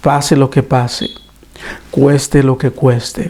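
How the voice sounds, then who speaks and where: A man's voice with a dark, mellow tone. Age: 60s. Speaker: preacher. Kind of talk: sermon. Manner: halting.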